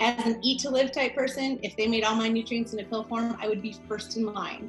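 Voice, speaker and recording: A woman with a fairly high pitch at a fairly quick pace, music in the background. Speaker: naturopathic doctor. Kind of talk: scripted introduction. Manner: fast.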